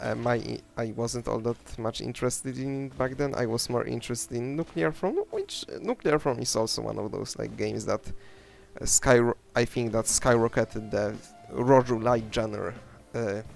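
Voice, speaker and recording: This man speaks with a non-native accent. His pace is moderate. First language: not English. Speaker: gaming YouTuber. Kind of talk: gameplay commentary. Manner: halting, many fillers and restarts.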